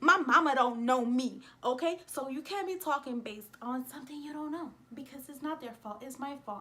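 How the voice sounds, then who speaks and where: A woman's high, raised, projected voice at a fairly quick pace, with ordinary pitch variation, big swings in loudness and noticeable background noise. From New York City (the Bronx), of Dominican and Puerto Rican parents. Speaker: vlogger. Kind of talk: casual rant vlog. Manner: animated.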